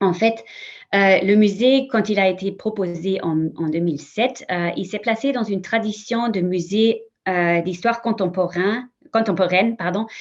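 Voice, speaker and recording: Against a quiet background, a woman with a non-native accent speaks at a medium pitch with ordinary pitch variation. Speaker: history museum representative. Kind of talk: conference panel talk. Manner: halting, many repetitions and fillers.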